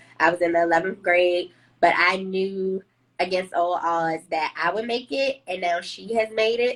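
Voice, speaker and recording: At a moderate pace, a woman with an American accent uses a fairly low pitch and fairly even intonation in an ordinary speaking voice. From Washington, D.C. (Southeast). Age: 30s. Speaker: HR professional, trauma survivor sharing her story. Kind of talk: testimony in live interview.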